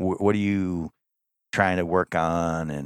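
Recorded very clean and dry, close with no echo over a silent background, a man speaks in a flat monotone at a very deep, low pitch. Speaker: podcast host. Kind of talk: casual chat. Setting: hotel room.

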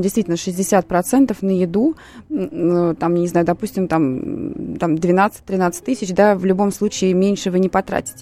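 A woman talks at a fairly slow pace in a dark, mellow tone with medium pitch. Her pitch varies in an ordinary way, and the recording is dry and close with no echo. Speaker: sociologist. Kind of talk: expert commentary on radio. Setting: studio.

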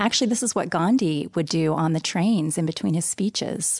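Against a quiet background, a woman with a fairly low pitch and vocal fry speaks at a moderate pace with ordinary pitch variation. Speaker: yoga nidra instructor. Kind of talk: casual interview explaining practice. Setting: studio. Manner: calm, flowing when explaining the practice.

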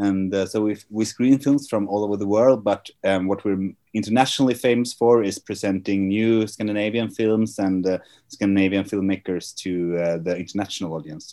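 A man with a Swedish accent speaks at a fairly low pitch in a dark, mellow tone. His intonation is fairly even against a quiet background. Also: moderate pace. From Sweden. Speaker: film festival artistic director. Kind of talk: interview.

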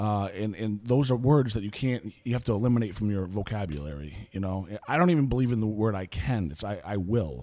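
The speech moves at a fairly quick pace with lively intonation and hardly any pauses. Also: man, fairly low pitch for a man. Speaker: salesman. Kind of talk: casual chat. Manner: energetic.

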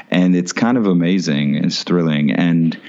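Against noticeable background noise, a man with an American accent speaks at a very deep, low pitch with ordinary pitch variation. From Florida. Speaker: actor. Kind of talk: casual interview. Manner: laid-back.

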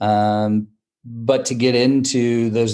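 In a very clean recording with a silent background, a man with an American accent speaks in a monotone, flat intonation. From US Midwest, rural Wisconsin. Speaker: lawyer and law firm founder. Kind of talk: interview.

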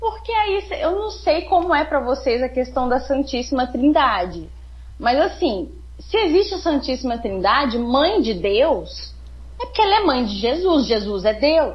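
This woman keeps to a fairly slow pace while noticeable background noise continues behind her. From southern Minas Gerais, Brazil. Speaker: podcast guest. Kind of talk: casual chat.

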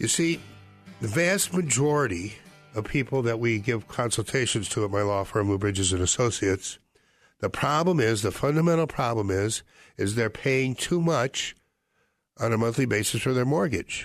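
An ordinary speaking voice with an American accent, lively in intonation and moderate in pace. Loudness stays very even over a quiet background. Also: man, medium pitch for a man. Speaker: radio host, foreclosure defense lawyer. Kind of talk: live radio talk show.

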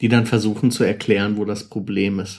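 A man's voice, fairly low in pitch, moves at a moderate pace with flat, monotone intonation. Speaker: podcast host. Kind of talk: casual chat.

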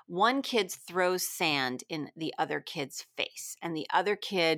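This woman's voice sits fairly low and has a bright, sharp tone. The recording is very clean with a silent background and a dry, close sound with no echo. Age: 50s. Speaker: teacher and parenting author. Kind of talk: interview.

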